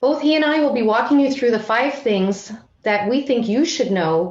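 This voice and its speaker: Lively intonation from a woman with a high pitch. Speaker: financial regulator. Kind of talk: conference presentation. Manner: loud; formal.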